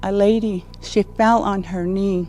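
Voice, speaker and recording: Music in the background beneath a woman's very slow delivery. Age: 60s. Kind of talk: public speech. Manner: halting.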